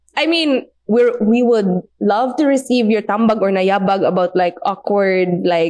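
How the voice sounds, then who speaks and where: This woman speaks with a Visayan Filipino accent at a medium pitch, with lively intonation and a fairly slow pace. Her loudness stays very even, with hardly any pauses. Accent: Filipino (Cebuano) English. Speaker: podcast guest. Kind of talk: casual chat.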